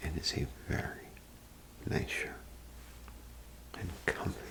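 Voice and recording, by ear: A man whispers at a slow pace.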